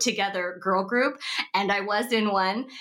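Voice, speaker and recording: A woman talks at a moderate pace in an American accent, her pitch fairly high. Hers is a plain, everyday voice. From Seattle, US. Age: 30s. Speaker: actress and entrepreneur. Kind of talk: casual chat.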